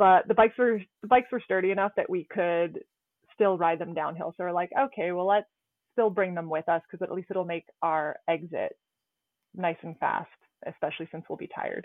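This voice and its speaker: A woman talks with medium pitch and ordinary pitch variation. It is a normal speaking voice. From Canada. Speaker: trauma ICU nurse and climber. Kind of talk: interview, personal accident story.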